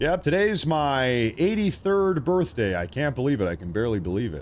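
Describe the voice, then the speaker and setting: This man speaks at a medium pitch. His voice swings very widely in pitch. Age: 30s. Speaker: live news streamer. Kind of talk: live news commentary. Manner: animated.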